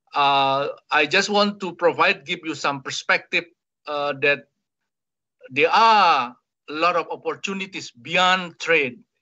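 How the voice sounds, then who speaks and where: A man's high-pitched voice, fairly slow and broken by long, frequent pauses, with ordinary pitch variation over a quiet background. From Indonesia. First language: Indonesian. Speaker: ambassador. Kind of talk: webinar presentation. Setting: video call. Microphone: video call.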